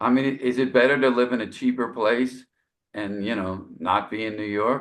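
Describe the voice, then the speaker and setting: A man speaks with vocal fry. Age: 60s. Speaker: jazz saxophonist. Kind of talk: casual interview. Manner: halting, many fillers.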